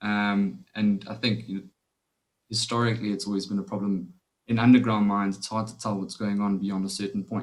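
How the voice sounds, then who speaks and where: The intonation stays fairly even as this man talks. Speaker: mining company technology executive. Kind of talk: webinar panel discussion. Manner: soft-spoken; loud.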